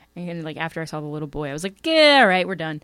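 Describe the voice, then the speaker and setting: Very clean recording, silent background, and a woman speaking at a fairly low pitch. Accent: Philadelphia. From Pennsylvania, Bucks County (Levittown). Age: 30s. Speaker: actor and comedian. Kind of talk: casual chat.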